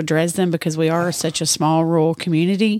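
In a very clean recording with a silent background, a woman with a Tennessee accent talks at a moderate pace in a fairly low pitch, the sound dry and close with no echo. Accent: Southern US (Tennessee). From Middle Tennessee. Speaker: charity organizer. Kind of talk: interview. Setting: studio in a store.

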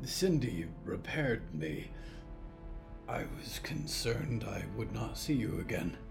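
Loud music plays in the background while a man speaks at a fairly slow pace. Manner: formal, calm, no contractions.

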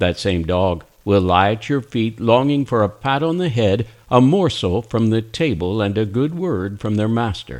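The speaker uses a natural reading voice. The intonation is lively.

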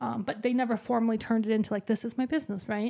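The intonation is fairly even on a very clean recording with a silent background. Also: woman. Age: 40s. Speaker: podcast host and business owner. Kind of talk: casual monologue. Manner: casual, conversational with fillers.

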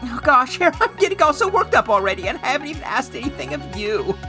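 A woman's fast, high-pitched put-on character voice, bright and sharp, with big pitch swings and faint music in the background

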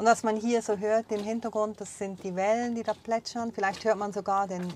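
This woman has a plain, everyday voice with a fairly high pitch. She talks at a moderate pace with fairly even intonation. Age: 40s. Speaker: podcast host, former radio correspondent. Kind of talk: casual chat. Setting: on a sailboat.

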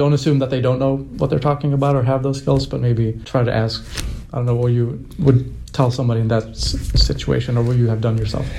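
Fairly quick male speech at medium pitch with ordinary pitch variation, noticeable background noise and audible room echo. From Sweden. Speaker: podcast host. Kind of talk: casual interview.

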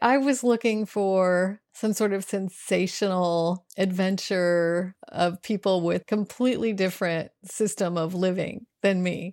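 A woman with an ordinary speaking voice and a medium pitch talks at a fairly slow pace with fairly even intonation and hardly any pauses, in a very clean recording with a silent background and a dry, close sound with no echo. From US South, rural North Carolina. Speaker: adventure travel writer and motorcyclist. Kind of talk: interview.

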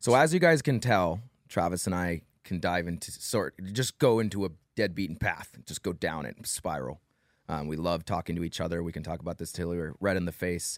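A man speaks at a moderate pace in a very deep, low voice with ordinary pitch variation, recorded very cleanly against a silent background with a dry, close sound and no echo. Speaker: real estate podcast co-host. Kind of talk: casual chat. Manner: talks a lot.

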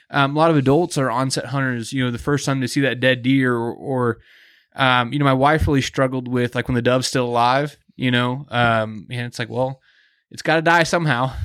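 A man with an American accent speaks in a plain, everyday voice at a medium pitch and a fairly quick pace, his intonation fairly even, on a very clean recording with a silent background. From US Midwest, Kansas City. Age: 30s. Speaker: hunting podcast host. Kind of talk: casual chat. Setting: hunting lodge.

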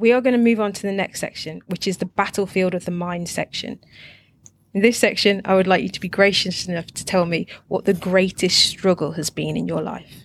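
Using a plain, everyday voice, a woman speaks at a medium pitch and fairly quick pace with fairly even intonation. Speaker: podcast host. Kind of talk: interview.

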